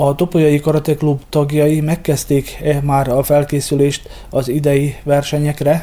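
The speaker talks at a fairly slow pace in a dark, mellow tone, with monotone, flat intonation, very even loudness and hardly any pauses. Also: man, fairly high pitch for a man. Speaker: veteran hockey team leader. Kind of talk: radio interview. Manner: hesitant, many fillers.

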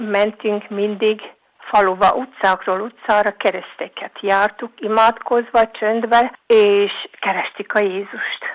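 Here a woman talks at a very slow pace. Her intonation is monotone and flat. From Vojvodina, Serbia (Bačka). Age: 70s. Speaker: elderly villager. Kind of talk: reminiscence.

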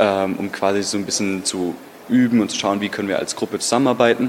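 Against noticeable background noise, a man speaks fairly quickly with a fairly low pitch and fairly even intonation. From Germany, Stuttgart. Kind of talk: interview.

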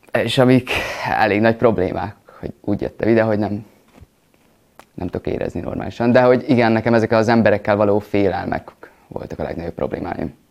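Talking at a very fast pace yet with long, frequent pauses, a man keeps his intonation fairly even. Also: medium pitch for a man. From Vojvodina, Serbia (Hungarian village). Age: young. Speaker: acting student. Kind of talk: interview.

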